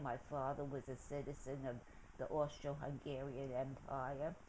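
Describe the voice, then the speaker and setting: Here a woman speaks in a very deep, low voice. She has a New York accent and keeps a moderate pace. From New York City, the Bronx. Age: 90s. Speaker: interviewee recounting her life. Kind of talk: oral history interview. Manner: halting.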